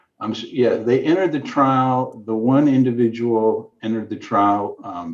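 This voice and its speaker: Using a normal speaking voice, a man speaks at a medium pitch and a fairly slow pace with ordinary pitch variation. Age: 60s. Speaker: ophthalmologist. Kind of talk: interview.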